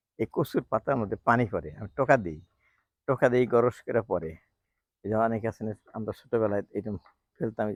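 The sound is dry and close with no echo. A man talks at a medium pitch with ordinary pitch variation. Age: 60s. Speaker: home gardener, doctor. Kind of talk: garden tour vlog. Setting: outdoors on rooftop garden. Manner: casual, halting.

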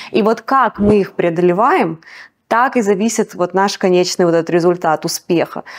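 Speaking at a moderate pace with medium pitch and ordinary pitch variation, the woman has an unremarkable speaking voice. Behind her, the very clean recording has a silent background. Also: very even loudness. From Russia. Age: middle-aged. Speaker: singer and restaurant owner. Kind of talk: interview.

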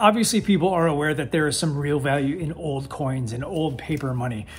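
A man rattles along at a very fast rate with ordinary pitch variation, over light background noise. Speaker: online reseller. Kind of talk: casual vlog chat. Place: office. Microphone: phone near.

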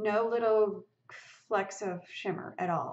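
Her intonation stays fairly even at a fairly slow pace. The woman's pitch is fairly high. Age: 60s. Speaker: lifestyle blogger and video creator; lifestyle blogger, video creator. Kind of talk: tutorial. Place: home room. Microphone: webcam.

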